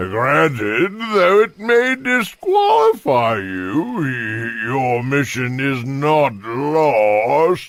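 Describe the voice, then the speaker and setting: This cartoonish character voice moves at a very slow pace with hardly any pauses. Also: man, medium pitch for a man. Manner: measured, hesitant "uh" fillers.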